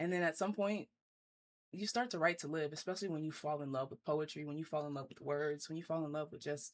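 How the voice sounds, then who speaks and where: A woman with a New Orleans accent, very deep and low in pitch, at a very fast pace with ordinary pitch variation. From US South, New Orleans. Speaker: poet. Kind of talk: casual interview.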